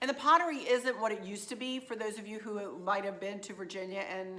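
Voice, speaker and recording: Audible room echo carries a woman's bright, sharp tone at medium pitch with ordinary pitch variation. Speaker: craft and decor vlogger. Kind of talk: shopping haul vlog, casual chat. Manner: chatty, with fillers.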